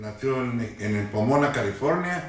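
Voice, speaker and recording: A man speaks with a northern Mexican accent. Audible room echo and noticeable background noise fill the recording. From Tijuana, Mexico. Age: 60s. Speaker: longtime resident. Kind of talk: oral history interview. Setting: at his home. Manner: hesitant, many fillers.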